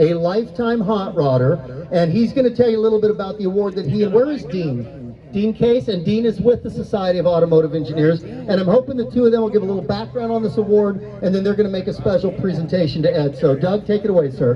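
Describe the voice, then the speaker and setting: A loud man at a high pitch, very fast pace and lively intonation, with hardly any pauses and noticeable background noise. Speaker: event emcee. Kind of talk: live event emcee speech.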